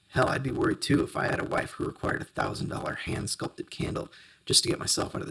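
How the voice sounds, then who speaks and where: At a very fast pace, someone performs a raspy, put-on character voice. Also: man. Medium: read story.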